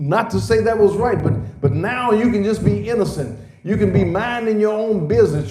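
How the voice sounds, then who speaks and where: Delivered at a very fast pace, the speech comes with audible room echo and noticeable background noise. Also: man. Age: 60s. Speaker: pastor. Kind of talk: sermon. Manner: hesitant fillers and repetitions.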